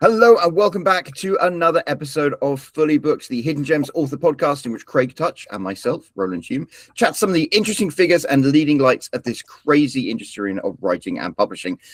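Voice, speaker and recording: A man with a British accent, fairly high-pitched, with very wide pitch swings, a fairly quick pace, hardly any pauses, and a dry, close sound with no echo. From Britain. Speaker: podcast host. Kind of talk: show introduction.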